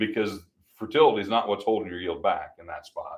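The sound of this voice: A man's fairly bright tone with big pitch swings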